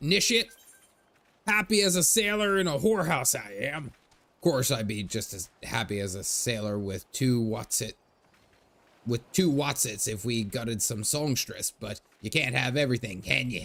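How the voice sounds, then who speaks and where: Using a put-on character voice, a man swings his pitch very widely at a moderate pace. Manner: boisterous, crude.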